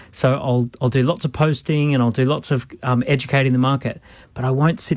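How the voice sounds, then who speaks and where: An Australian accent at a fairly quick pace, in a very clean recording with a silent background. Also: man. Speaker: entrepreneur and business adviser. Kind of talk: radio business advice.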